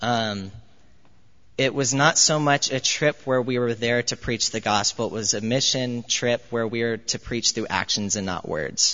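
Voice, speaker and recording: A man with a General American accent speaks in a normal speaking voice, with medium pitch, ordinary pitch variation and a fairly slow pace. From US. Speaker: university student. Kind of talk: testimony. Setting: church.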